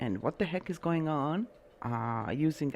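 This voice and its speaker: A woman speaks with a very deep, low pitch and vocal fry. Her pitch swings very widely at a fairly slow pace. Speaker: podcast host and astrologer. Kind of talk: casual monologue podcast. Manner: halting, many fillers.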